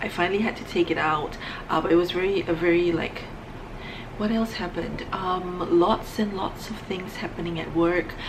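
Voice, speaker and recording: Soft-spoken and fairly low-pitched, a woman talks in a monotone, flat intonation, with audible room echo and noticeable background noise. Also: moderate pace. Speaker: beauty vlogger. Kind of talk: casual vlog monologue.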